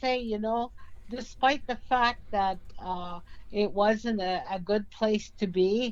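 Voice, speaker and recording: The woman's pitch is fairly high, with ordinary variation. She speaks at a very slow pace. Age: 80s+. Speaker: residential school survivor and author. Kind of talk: radio interview. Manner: halting.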